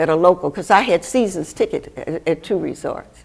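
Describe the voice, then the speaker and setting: A woman with an American accent at a moderate pace, her pitch swinging very widely. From Michigan. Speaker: pediatrician. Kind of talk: interview answer.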